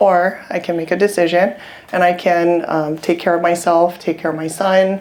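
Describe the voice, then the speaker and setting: A woman speaks with a Hawaiian accent at a moderate pace. Her pitch is fairly low and her intonation flat and monotone. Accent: Hawaii local English. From Hawaii, Waianae (west Oahu). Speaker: real estate investor. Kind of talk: personal testimony.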